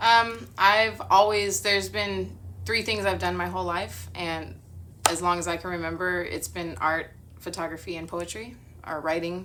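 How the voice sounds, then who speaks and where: Audible room echo around a woman's moderate-paced speech in an American accent. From Southern California, San Bernardino County. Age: 40s. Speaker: artist and photographer. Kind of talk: interview. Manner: hesitant, many fillers.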